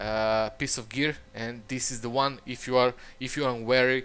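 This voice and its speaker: A man's bright, sharp voice at medium pitch, with a non-native accent and a moderate pace. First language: not English. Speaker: gaming channel host. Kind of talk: tutorial. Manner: halting, many fillers.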